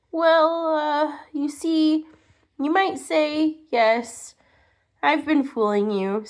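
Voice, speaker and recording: Putting on a squeaky character voice, a woman talks at a very slow pace and a high pitch. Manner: shy, stammering.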